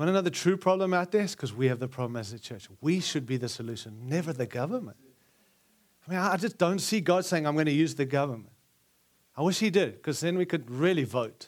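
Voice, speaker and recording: Speaking at a very fast pace, a man with a South African accent uses lively intonation and a fairly high pitch on a very clean recording with a silent background. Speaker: preacher. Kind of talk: sermon. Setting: church conference with audience.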